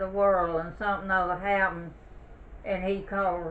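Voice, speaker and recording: A woman's medium-pitched voice with a Southern US accent and monotone, flat intonation over noticeable background noise. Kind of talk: oral history interview answer. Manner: conversational, reminiscing.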